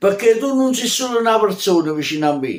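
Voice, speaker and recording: A man with a high pitch and lively intonation. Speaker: poet. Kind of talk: poetry reading. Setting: recorded at home on video. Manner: declamatory, heartfelt.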